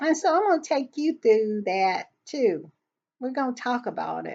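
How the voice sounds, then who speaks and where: A woman with an American accent talks at a fairly slow pace with very wide pitch swings. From US South. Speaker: royal commentary YouTuber. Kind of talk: casual commentary vlog. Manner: conversational, halting with self-corrections.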